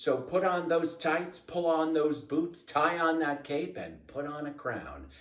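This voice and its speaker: Talking at a fairly slow pace with hardly any pauses, a man with a fairly high pitch keeps a monotone, flat intonation over noticeable background noise. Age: 60s. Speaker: cosplayer. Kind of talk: motivational message.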